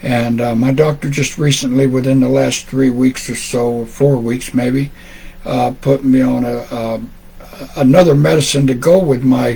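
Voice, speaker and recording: Against noticeable background noise, a man at a medium pitch speaks at a fairly slow pace with fairly even intonation. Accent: Tennessee. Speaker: amateur radio net controller. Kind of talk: radio net closing remarks, casual chat. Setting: amateur radio net, streamed live. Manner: halting, many fillers and repetitions.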